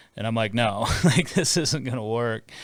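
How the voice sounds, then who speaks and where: Using an ordinary speaking voice, a man with an American accent talks at a moderate pace and medium pitch. The recording is very clean with a silent background. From Minneapolis area, US Midwest. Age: 40s. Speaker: play-by-play sports broadcaster. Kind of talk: podcast interview.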